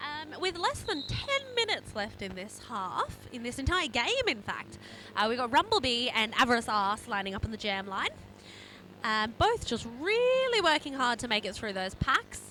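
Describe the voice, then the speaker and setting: A woman talks at a moderate pace. She speaks in an Adelaide accent. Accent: posh Australian, Adelaide. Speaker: roller derby commentator. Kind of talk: live sports commentary. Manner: animated.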